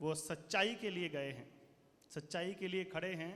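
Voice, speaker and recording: This is a man speaking. His pitch is high. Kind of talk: speech to school audience. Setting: stage with audience.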